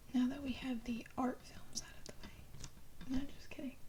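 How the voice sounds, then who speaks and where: Whispering with an American accent. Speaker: ASMR creator. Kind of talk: ASMR soft-spoken show-and-tell. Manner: soft-spoken.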